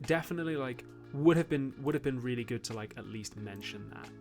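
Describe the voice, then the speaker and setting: Music plays in the background as a man with a northern English accent talks at a very fast pace. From northern England.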